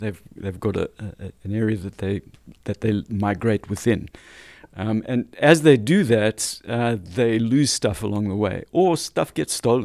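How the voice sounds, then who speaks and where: In a dry, close sound with no echo, a man with an ordinary speaking voice talks at a fairly slow pace and a fairly low pitch, with ordinary pitch variation. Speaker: data executive and homelessness tech advocate. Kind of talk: interview.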